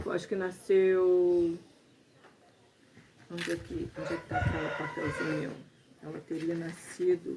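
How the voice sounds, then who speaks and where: A woman speaks with long, frequent pauses over noticeable background noise. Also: fairly slow pace. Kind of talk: interviewer questions.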